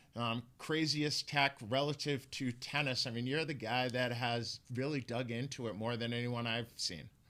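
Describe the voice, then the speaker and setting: The voice has a bright, sharp tone and hardly any pauses, heard in a very clean recording with a silent background. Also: man, medium pitch for a man, moderate pace. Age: older than the guest. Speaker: interview host. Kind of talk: interview.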